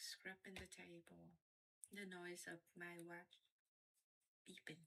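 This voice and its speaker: A woman speaks quietly at a very slow pace in a bright, sharp tone. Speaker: gaming youtuber. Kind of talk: gameplay commentary. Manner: quiet, low volume.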